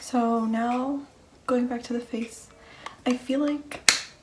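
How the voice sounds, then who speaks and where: Noticeable background noise sits behind a woman talking. Her pitch is high, and she speaks at a fairly slow pace. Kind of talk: makeup tutorial voiceover. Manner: whispered, soft-spoken.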